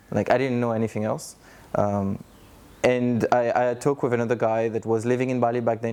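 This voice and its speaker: The man has a French accent and a medium pitch. He speaks at a fairly quick pace in a flat monotone. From France. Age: 30s. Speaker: coach, digital nomad. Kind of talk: interview testimony.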